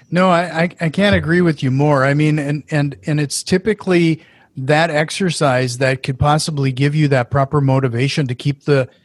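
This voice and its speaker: A man with an Upper Midwest accent, fairly high in pitch and somewhat breathy, at a moderate pace. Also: dry, close sound with no echo. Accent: Upper Midwest American. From Fargo, North Dakota. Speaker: podcast host. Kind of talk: casual interview.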